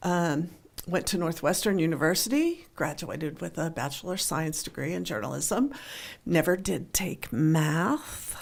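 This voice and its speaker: A woman with an American accent, fairly low pitch, vocal fry, lively intonation and a moderate pace. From western Pennsylvania, near Pittsburgh. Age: 60s. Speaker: newspaper columnist. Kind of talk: radio interview.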